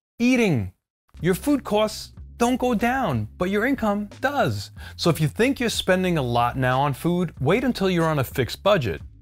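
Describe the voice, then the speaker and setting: The voice moves at a moderate pace while faint music plays in the background. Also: man. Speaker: cooking channel host. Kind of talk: product review commentary. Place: kitchen.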